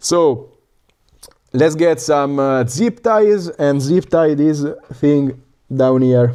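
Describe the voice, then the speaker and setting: A man with a strong Italian accent speaks very slowly in a dark, mellow tone, his fairly high pitch moving with ordinary variation and broken by long, frequent pauses. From Italy, northern Lazio. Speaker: FPV drone YouTuber. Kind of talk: livestream chat and build tutorial. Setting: live stream at home workshop. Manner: casual, hesitant with fillers.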